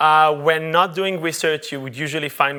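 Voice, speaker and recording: With an Israeli accent, a man speaks at a fairly high pitch in a bright, sharp tone on a very clean recording with a silent background. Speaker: UX researcher. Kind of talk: conference talk. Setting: stage with audience. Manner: halting, many fillers.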